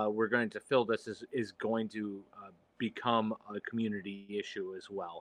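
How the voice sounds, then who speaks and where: A man with a Midwestern American accent at a medium pitch and moderate pace, dry and close with no echo. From Michigan. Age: 40s. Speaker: gaming podcast co-host. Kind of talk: casual chat.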